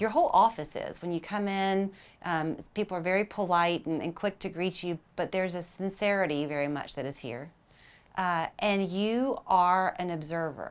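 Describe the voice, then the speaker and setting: A woman with an unremarkable speaking voice talks at a medium pitch and a moderate pace. Her pitch variation is ordinary, and the recording is very clean with a silent background. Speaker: TV news show host. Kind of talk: TV interview questions.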